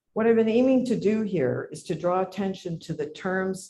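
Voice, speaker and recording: Dark, mellow tone and a somewhat breathy quality in a male voice. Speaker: academic lecturer. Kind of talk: lecture.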